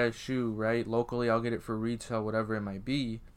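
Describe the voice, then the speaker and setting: Here a man with an American accent talks in an unremarkable speaking voice at medium pitch and a moderate pace. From Iowa. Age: young. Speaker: podcast host, sneaker reseller. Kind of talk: casual chat.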